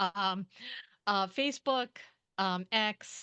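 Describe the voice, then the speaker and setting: The tone is bright and sharp, delivered at a very slow pace. The sound is dry and close, with no echo. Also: woman, quiet background. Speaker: author and creative writing program director. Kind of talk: interview. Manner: halting.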